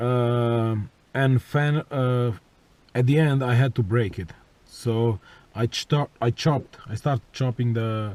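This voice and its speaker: At a very slow pace, a man with a non-native accent speaks in fairly even intonation with long, frequent pauses, in a dry, close sound with no echo. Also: medium pitch for a man. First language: not English. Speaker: car enthusiast vlogger. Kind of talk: tutorial. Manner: halting, many fillers.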